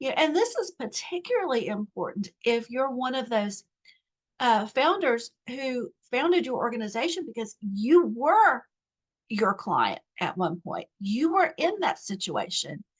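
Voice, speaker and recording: A woman's high voice with an American accent, fairly slow, with very wide pitch swings, dry and close with no echo. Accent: Southern US (momentary, self-noted). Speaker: nonprofit coach. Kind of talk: online course lesson. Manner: conversational with fillers.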